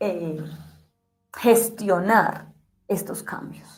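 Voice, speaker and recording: With music in the background and audible room echo, a woman speaks very slowly with ordinary pitch variation. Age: 40s. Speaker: interviewer. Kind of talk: conversational interview.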